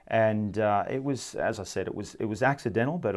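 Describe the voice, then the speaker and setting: A man with an Australian accent talks at a fairly quick pace with ordinary pitch variation. His pitch is medium, and the background is quiet. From Sydney, Australia. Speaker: former rugby player and amateur coach. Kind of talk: casual sports chat.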